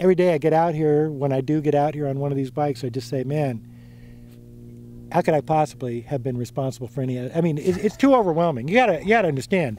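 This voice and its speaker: A man's fairly high-pitched voice, dark and mellow in tone, at a very fast pace. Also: ordinary pitch variation. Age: 60s. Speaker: mountain biking pioneer. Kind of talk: interview. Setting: outdoors. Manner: casual, halting with fillers.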